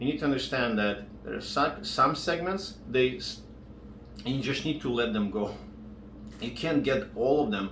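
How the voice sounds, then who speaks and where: Amid noticeable background noise and audible room echo, a man of medium pitch speaks at a moderate pace with ordinary pitch variation and long, frequent pauses. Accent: strong non-native. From outside English-speaking countries. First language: not English. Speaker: contractor and business coach. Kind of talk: tutorial. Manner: halting, searching for words.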